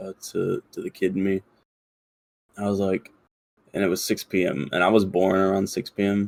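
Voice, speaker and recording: In a dry, close recording with no echo, a man with a fairly low voice speaks in a flat monotone, leaving long, frequent pauses. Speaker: podcast co-host. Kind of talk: casual chat. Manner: fast; many filler words.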